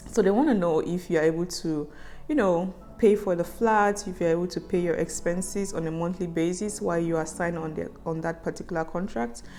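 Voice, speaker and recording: With music in the background, a woman speaks fairly quickly in a fairly low voice with ordinary pitch variation. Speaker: vlogger. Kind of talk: casual vlog monologue.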